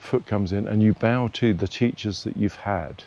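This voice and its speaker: At a fairly slow pace, a man talks in a dark, mellow tone with a fairly low pitch and ordinary pitch variation. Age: 70s. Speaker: tai chi and qigong instructor. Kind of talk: tutorial.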